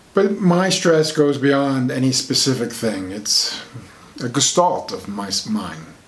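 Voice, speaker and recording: Over noticeable background noise, a man speaks at a very slow pace and medium pitch. His pitch swings very widely. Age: 60s. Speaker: alternative medicine author. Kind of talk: personal talk to camera.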